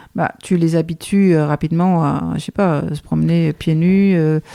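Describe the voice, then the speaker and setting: A woman talks fairly slowly, with intonation that stays fairly level. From Denmark. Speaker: guesthouse owner, knitter. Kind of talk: podcast interview answer.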